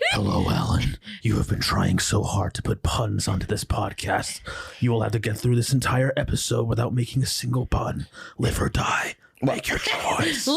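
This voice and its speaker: A man's put-on character voice at a medium pitch, delivered at a moderate pace. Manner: menacing, sinister.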